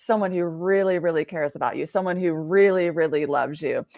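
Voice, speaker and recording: A fairly low-pitched woman's voice with fairly even intonation, dry and close with no echo, over a quiet background. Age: 40s. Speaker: author and poet. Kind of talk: casual chat. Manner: halting.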